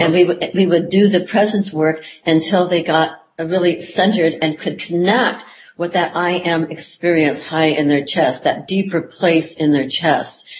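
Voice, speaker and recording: A woman's fairly low, somewhat breathy voice at a fairly slow pace, with fairly even intonation. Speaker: psychotherapist. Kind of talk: interview conversation.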